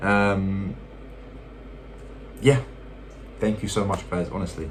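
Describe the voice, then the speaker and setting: In a British accent, the voice comes through with audible room echo. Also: man. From UK. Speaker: YouTuber. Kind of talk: casual vlog talk to viewers. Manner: hesitant, many fillers.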